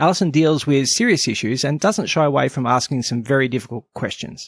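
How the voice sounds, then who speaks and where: On a very clean recording with a silent background, a man speaks with an Australian accent. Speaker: podcast host. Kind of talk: casual interview chat; scripted intro.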